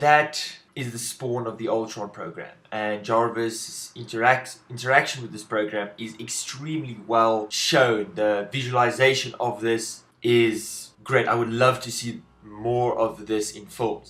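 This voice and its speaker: With a South African accent, a man talks at a medium pitch and fairly even intonation. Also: fairly slow pace, hardly any pauses, big swings in loudness. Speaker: film reviewer. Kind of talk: video review monologue. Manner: halting, with self-corrections.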